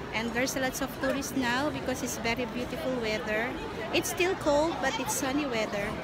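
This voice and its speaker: A woman with a Filipino accent at a fairly quick pace, dry sound with no echo, and loud background noise. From Philippines. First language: Tagalog. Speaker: travel vlogger. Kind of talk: vlog narration. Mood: cheerful, admiring. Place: street. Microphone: phone near.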